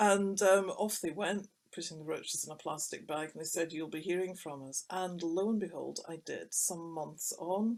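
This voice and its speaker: A woman's fairly low voice with a Scottish accent and fairly even intonation. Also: moderate pace, hardly any pauses. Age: 60s. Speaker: writer and illustrator. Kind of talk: personal testimony in a webinar talk. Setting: recorded webinar. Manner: conversational with hesitations.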